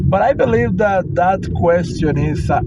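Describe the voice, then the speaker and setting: A man's pitch swings very widely as noticeable background noise runs underneath. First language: Spanish. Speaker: English learner vlogger. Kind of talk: casual monologue. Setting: in a car, phone via Bluetooth. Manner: halting.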